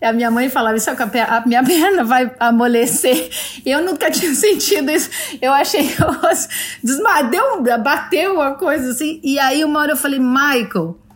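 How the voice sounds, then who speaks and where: Over noticeable background noise, a high-pitched woman speaks at a moderate pace with lively intonation. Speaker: TV executive producer. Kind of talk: casual interview.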